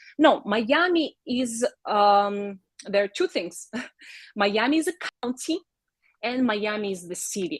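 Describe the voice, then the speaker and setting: A woman speaks at a fairly high pitch with a Russian accent and a somewhat breathy voice. Her pitch swings very widely, and the sound is dry and close with no echo. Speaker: realtor. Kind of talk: live video show chat.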